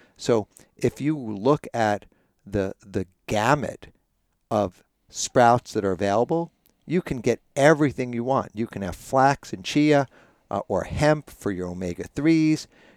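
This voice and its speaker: Here is a man with a normal speaking voice at medium pitch and lively intonation. He goes at a fairly slow pace, and the sound is dry and close with no echo. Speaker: author and sprout expert. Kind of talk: casual interview chat. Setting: sauna recording.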